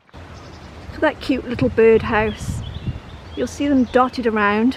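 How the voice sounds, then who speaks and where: With a Welsh accent, the speaker goes at a fairly slow pace with ordinary pitch variation over noticeable background noise. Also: woman. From Wales. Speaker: vlogger. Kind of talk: casual vlog narration. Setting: outdoors on a walk.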